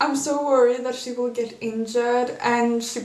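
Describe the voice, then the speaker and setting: Noticeable background noise behind a woman's high pitch, ordinary pitch variation, and a fairly slow pace. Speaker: figure skating commentator. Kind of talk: casual talk to camera.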